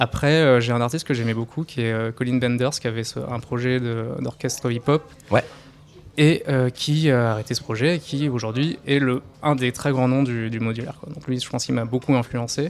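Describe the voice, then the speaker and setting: With an unremarkable speaking voice, a man talks at a moderate pace and medium pitch, keeping his intonation fairly even. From France, near Dreux (Centre-Val de Loire). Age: 30s. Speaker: electronic musician. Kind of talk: radio interview. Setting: live radio stand at a music festival.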